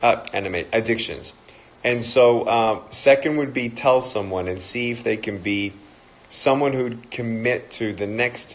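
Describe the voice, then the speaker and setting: A man's medium-pitched voice in an American accent, at a fairly slow pace with ordinary pitch variation. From Australia. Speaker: motivational speaker and evangelist. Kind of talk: motivational talk on a livestream.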